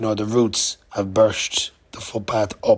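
A man speaks at a fairly slow pace with a medium pitch. Noticeable background noise runs underneath. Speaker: podcaster, cycle traveller. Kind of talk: casual vlog monologue. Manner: hesitant, many fillers.

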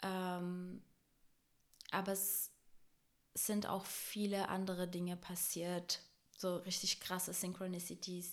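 A woman's very slow, monotone, flat delivery with long, frequent pauses. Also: medium pitch for a woman. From Brazil. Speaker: podcast guest. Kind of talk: casual chat.

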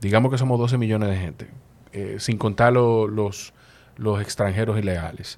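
A man speaks with a Dominican accent at a fairly low pitch. His intonation is fairly even and his pace moderate. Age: old. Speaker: podcast host. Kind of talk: casual interview.

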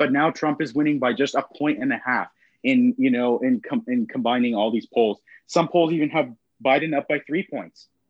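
A man with an American accent has a plain, everyday voice, pitched fairly high. He talks at a moderate pace with lively intonation. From Texas, Austin. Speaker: architecture student discussing politics. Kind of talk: casual chat.

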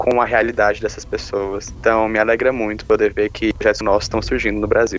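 A man speaks while music plays in the background. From Brazil, Goiás (Caldas Novas). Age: 20s. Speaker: podcast co-host, nursing student. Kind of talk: casual chat.

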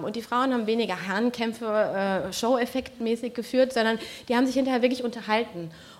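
Against noticeable background noise, a woman talks at a very fast pace in a fairly high pitch with ordinary pitch variation. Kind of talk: panel debate. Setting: stage with audience.

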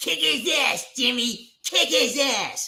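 Someone performs in a put-on character voice. Everything is delivered very slowly. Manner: angry, urging on.

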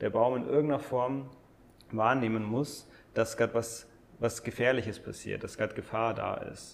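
The delivery runs at a fairly quick pace in a monotone, flat intonation. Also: man. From Bavaria, Landsberg am Lech area. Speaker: breathwork and mindfulness coach. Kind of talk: casual interview conversation. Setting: in person at host's home. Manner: hesitant, many fillers.

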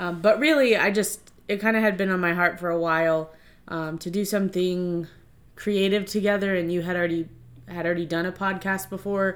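This woman has an ordinary speaking voice with an American accent, pitched at a medium level. She talks at a fairly quick pace, and her intonation stays fairly even. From Virginia, Stafford County. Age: 30s. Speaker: podcast co-host, schoolteacher. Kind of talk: casual chat.

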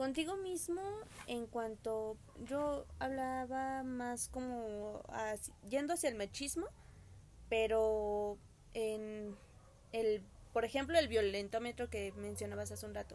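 Speaking at a very slow pace, a woman with a fairly high pitch takes long, frequent pauses. Her pitch varies in an ordinary way, while her loudness swings widely. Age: 20s. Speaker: podcast guest. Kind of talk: casual chat.

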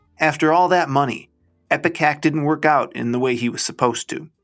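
With a plain, everyday voice, a man speaks fairly quickly at a fairly high pitch, his intonation lively, on a very clean recording with a silent background. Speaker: podcast host reading a short story aloud. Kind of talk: literary audiobook reading of a first-person short story, storytelling. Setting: garage, recorded at home.

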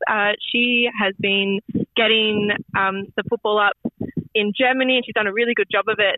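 A woman with an Australian accent, fairly high pitch, fairly even intonation and a fairly quick pace. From Australia, Melbourne, Yarra Ranges of Victoria. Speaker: football coach. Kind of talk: radio interview. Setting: phone call. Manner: halting.

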